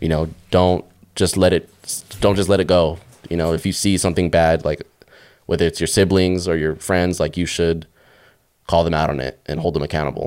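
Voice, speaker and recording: Moderately paced speech in a flat monotone. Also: man, very deep, low pitch for a man. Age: 20s. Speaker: podcast guest. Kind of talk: casual chat. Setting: studio.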